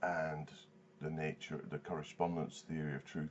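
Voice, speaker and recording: Noticeable background noise sits behind a man. He talks at a moderate pace. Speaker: vlogger. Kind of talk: video response commentary. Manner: halting, many fillers and repeats.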